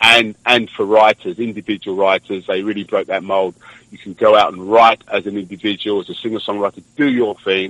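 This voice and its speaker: A man with a London accent speaks fairly quickly at a fairly low pitch, his intonation fairly even but his loudness swinging widely. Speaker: singer-songwriter. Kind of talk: radio interview answer. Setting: phone line.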